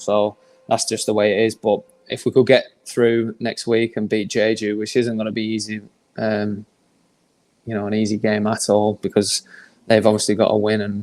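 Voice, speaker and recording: At a moderate pace, a man speaks in a fairly low pitch with monotone, flat intonation. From northern England, Manchester. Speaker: professional footballer. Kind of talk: podcast interview.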